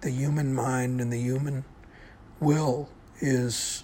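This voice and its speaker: Amid noticeable background noise, a man speaks in a medium-pitched voice with monotone, flat intonation. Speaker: podcaster. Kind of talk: solo monologue podcast.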